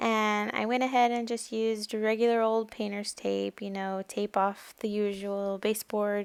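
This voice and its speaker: A woman talks at a fairly slow pace in a plain, everyday voice. The sound is dry and close with no echo, and the recording is very clean with a silent background. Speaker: mom lifestyle vlogger. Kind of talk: casual vlog narration.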